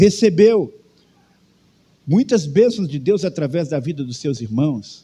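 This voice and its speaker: His tone is dark and mellow. The man speaks at a fairly slow pace with lively intonation. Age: 60s. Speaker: pastor. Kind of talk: sermon. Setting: church.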